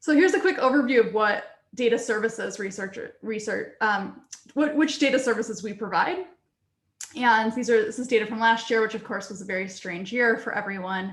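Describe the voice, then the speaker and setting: With audible room echo, a somewhat breathy woman talks fairly quickly at a fairly high pitch, her loudness swinging widely and her pitch varying an ordinary amount. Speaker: research computing data services staff. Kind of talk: conference presentation. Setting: video call.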